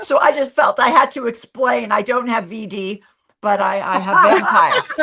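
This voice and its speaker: A woman with an American accent and a fairly high pitch, animated in tone, with lively intonation, big swings in loudness and a moderate pace. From Los Angeles, US West Coast. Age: 60s. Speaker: actress. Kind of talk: casual chat. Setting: live stream interview.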